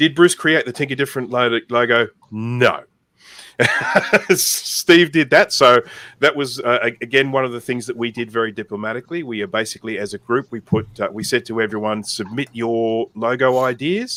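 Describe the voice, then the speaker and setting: Dry and close with no echo, a man with an Australian accent talks at a moderate pace in a bright, sharp tone. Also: medium pitch for a man, ordinary pitch variation. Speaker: community co-founder, live Q&A host. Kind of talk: informal live Q&A.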